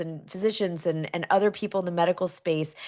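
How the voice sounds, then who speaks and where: Over a quiet background, a woman speaks at a medium pitch in an animated tone. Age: middle-aged. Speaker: talk show host. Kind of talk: live interview show. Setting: studio with live audience.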